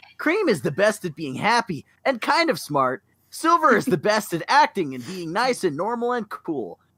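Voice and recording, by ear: A passage is being read aloud in a natural voice.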